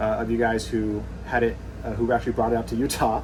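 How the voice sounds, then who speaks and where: Noticeable noise runs in the background. The man speaks very quickly. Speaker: RV YouTuber. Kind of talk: video tour. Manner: fast; casual, halting with fillers.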